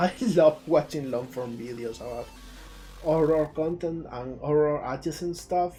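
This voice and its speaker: Over music in the background, a man with a Spanish accent and a fairly high pitch speaks at a fairly slow pace with big swings in loudness. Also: ordinary pitch variation. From southern Spain, Jaén, Andalusia. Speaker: indie game developer and streamer. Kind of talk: live stream commentary. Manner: animated.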